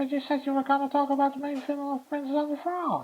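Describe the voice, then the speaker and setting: A put-on character voice rattles along at a very fast pace, high in pitch and monotone, with flat intonation. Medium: comedy sketch.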